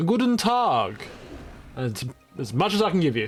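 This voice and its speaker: A man speaks at a moderate pace with a high pitch. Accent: Australian. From Australia. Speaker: video game streamer. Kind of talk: live gameplay stream chat.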